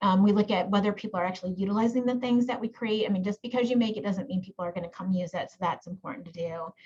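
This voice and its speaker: A woman speaks at a very fast pace. Her voice is somewhat breathy. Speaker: genetic counselor and professor. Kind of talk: webinar presentation.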